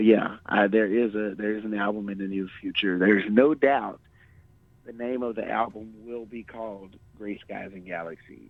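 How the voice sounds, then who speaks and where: Fairly low in pitch, a man with a Texan accent talks at a moderate pace with fairly even intonation and big swings in loudness. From small-town Texas. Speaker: singer-songwriter. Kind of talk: radio interview. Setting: radio studio. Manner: halting, many repetitions and fillers.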